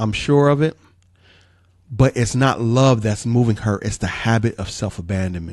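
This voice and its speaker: A man with a plain, everyday voice keeps to a medium pitch, varying it in an ordinary way as he talks at a moderate speed. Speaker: relationship counselor and podcast host. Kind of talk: advice podcast answering a listener letter. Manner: calm, gentle, preacher-like.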